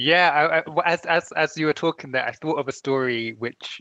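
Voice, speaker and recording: Bright, sharp male voice at a moderate pace, ordinary pitch variation, dry and close with no echo. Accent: London. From London. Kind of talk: panel discussion. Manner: halting, repeats words.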